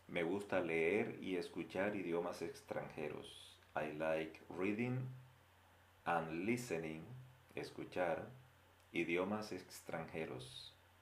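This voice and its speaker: There is audible room echo as a man with a very deep, low pitch talks at a very slow pace with ordinary pitch variation. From Colombia. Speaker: Spanish teacher. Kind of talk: language lesson.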